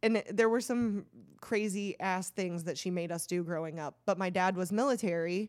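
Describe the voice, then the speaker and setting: The recording is very clean, with a silent background. A woman with an unremarkable speaking voice talks at a moderate pace, her medium pitch varying in the ordinary way. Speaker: podcast host. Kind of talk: casual chat.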